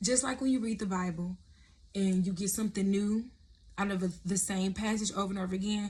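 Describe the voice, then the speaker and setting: The delivery is somewhat breathy, with fairly even intonation. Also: woman. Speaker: prophetic content creator. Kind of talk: sermon-style vlog. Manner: casual, conversational.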